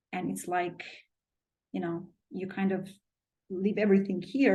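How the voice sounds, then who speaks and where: A woman with a medium pitch speaks in a somewhat breathy voice. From Albania. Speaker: business consultant and public speaker. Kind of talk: podcast interview answer.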